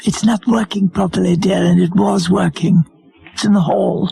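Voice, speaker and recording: A man puts on a raspy character voice pitched high, moving at a moderate pace. His loudness stays very even, and the sound is dry and close with no echo. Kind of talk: radio prank call. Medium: comedy sketch. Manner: keeps saying dear, slow, repetitive.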